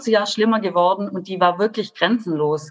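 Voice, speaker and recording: Here is an ordinary speaking voice from a woman at medium pitch. She talks at a fairly quick pace with ordinary pitch variation. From Baden-Württemberg, Germany. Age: 30s. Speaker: social worker and coach. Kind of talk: podcast interview.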